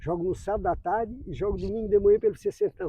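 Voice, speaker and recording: Pitch variation stays ordinary. The speaker is a man. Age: 60s. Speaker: amateur footballer. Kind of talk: interview. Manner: halting.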